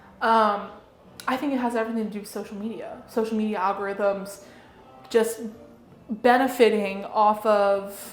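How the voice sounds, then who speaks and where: Over noticeable background noise and audible room echo, a woman speaks in a fairly high voice at a moderate pace. Her intonation is flat and monotone, with an American accent. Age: 20s. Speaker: political influencer. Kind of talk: interview.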